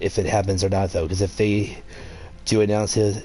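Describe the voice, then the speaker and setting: A man at a fairly low pitch and a very fast pace, with noticeable background noise. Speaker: gaming youtuber. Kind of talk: gameplay commentary. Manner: halting.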